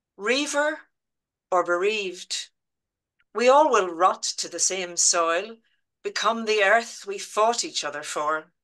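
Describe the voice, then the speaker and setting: In a strong Belfast accent, a woman with a bright, sharp tone and lively intonation talks at a very slow pace with long, frequent pauses against a quiet background. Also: medium pitch for a woman. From Northern Ireland, Belfast. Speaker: poet. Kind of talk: poetry reading. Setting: video call.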